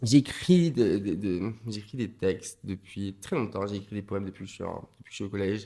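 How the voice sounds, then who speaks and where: In a Martinican accent, a man speaks with a fairly low pitch and a dark, mellow tone. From Martinique. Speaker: comedian and voguing dancer. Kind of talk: podcast interview. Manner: halting, many repetitions and fillers.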